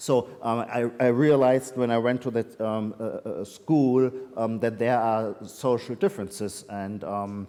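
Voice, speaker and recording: A man with a German accent, a dark, mellow tone, medium pitch and ordinary pitch variation. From Germany, Heidelberg. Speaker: literary critic and author. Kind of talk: Q&A at a reading event. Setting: hybrid event with audience. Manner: halting, many fillers.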